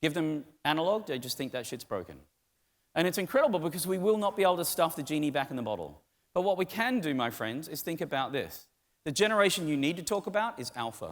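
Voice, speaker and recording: A man with an Australian accent, fairly high pitch, lively intonation and a very fast pace, on a very clean recording with a silent background. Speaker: tech conference speaker. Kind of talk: keynote talk. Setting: stage with audience. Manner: animated.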